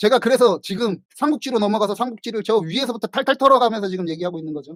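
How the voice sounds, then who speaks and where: Extremely high-pitched, a man talks at a very fast pace with lively intonation, recorded with a dry, close sound and no echo. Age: 50s. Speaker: writer and livestream host. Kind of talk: casual livestream talk. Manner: self-described poor pronunciation; casual, conversational.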